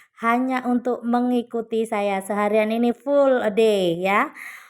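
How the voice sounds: Her intonation fairly even, a woman speaks in a slightly mellow tone. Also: very clean recording, silent background.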